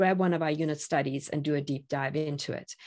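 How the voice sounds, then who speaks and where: Against a quiet background, a woman with a very deep, low pitch and a dark, mellow tone speaks at a very fast pace with ordinary pitch variation. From South Africa. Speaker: online academy founder and teacher. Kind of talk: interview.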